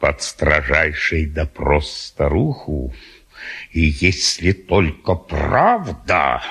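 A man puts on a character voice with an extremely low pitch, vocal fry and a husky, rough edge. His tone is fairly bright, and he talks at a very slow pace with big pitch swings.

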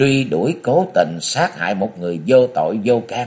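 Simply a natural reading voice

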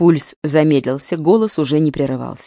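A woman's dark, mellow, low voice at a moderate pace, with ordinary pitch variation, in a very clean recording with a silent background and a dry, close sound with no echo.

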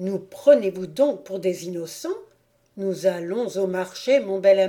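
What you hear is plain reading aloud.

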